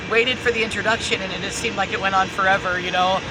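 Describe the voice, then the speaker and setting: Noticeable background noise is present. A woman talks with ordinary pitch variation. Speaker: spiritual channeler, video host. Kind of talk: casual monologue, spiritual storytelling. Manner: stuttering, filler-heavy.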